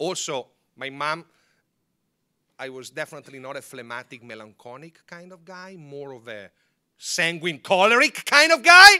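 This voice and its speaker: In an Italian accent, a man with a fairly high pitch and a bright, sharp tone speaks animatedly at a moderate pace, his intonation lively, his loudness swinging widely and his pauses long and frequent. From northern Italy, Milan. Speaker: former papal guard giving a talk. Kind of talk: public talk.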